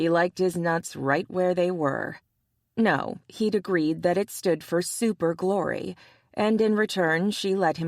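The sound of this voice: The reading voice is unforced, its pitch varying normally. Behind it, all is quiet.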